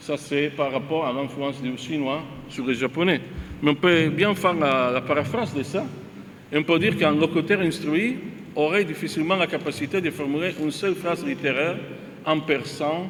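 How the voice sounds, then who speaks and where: A man's fairly high-pitched voice with an Italian accent, over noticeable background noise. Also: ordinary pitch variation, moderate pace. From Italy. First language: Italian (speaking French). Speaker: visiting academic, linguist panelist. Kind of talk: academic presentation. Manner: halting, many hesitations.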